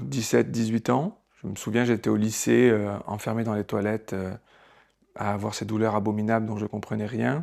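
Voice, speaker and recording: Speaking at a moderate pace with fairly even intonation, a man uses a fairly low pitch in a very clean recording against a silent background. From southern France, Marseille. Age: 40s. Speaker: theatre director. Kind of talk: personal testimony. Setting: at home. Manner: hesitant, many filler sounds.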